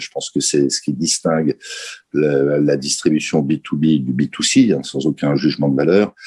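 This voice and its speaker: The sound is close and dry, without any echo. A man talks at a moderate pace, his tone dark and mellow. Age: 60s. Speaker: company chairman. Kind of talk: interview.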